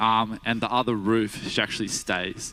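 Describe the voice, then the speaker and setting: This man, in an Australian accent, holds a medium pitch with a flat, monotone delivery. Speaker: guest preacher, cardiac sonographer by day. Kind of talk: sermon. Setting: church. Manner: casual, hesitant with fillers.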